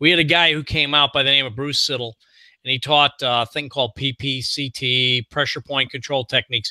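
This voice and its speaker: At a fairly quick pace, a man speaks with a fairly high pitch, a bright, sharp tone and fairly even intonation, in a very clean recording with a silent background and a dry, close sound with no echo. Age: 60s. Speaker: podcast host, former unit member. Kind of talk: casual interview chat.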